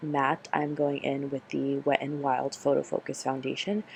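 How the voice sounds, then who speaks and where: A soft-spoken woman talks at a fairly slow pace. Her pitch is very deep and low. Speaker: beauty vlogger. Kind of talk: makeup tutorial. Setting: home, filming late at night. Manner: quiet, ASMR-like.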